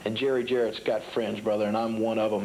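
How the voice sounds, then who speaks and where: A man speaks in an angry tone. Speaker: professional wrestler. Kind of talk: wrestling promo interview. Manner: angry, emphatic, threatening.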